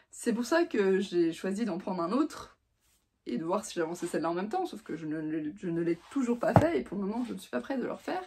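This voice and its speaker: A woman talks at a medium pitch and a fairly quick pace. Her pitch swings very widely and her loudness shifts in big swings. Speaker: book reviewer. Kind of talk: casual vlog book review. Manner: fast; hesitant, many fillers.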